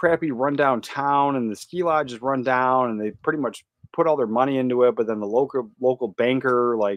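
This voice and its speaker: A plain, everyday voice: a man with an American accent speaks at a moderate pace, medium pitch and ordinary pitch variation. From California. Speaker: YouTuber, movie collector. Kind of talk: live stream casual chat. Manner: casual, filler-heavy.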